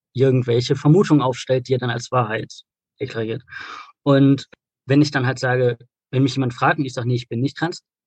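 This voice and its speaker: With a somewhat breathy medium pitch and fairly even intonation, a man speaks at a very fast pace broken by long, frequent pauses, the sound dry and close with no echo. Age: 20s. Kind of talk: interview. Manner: hesitant, many filler sounds.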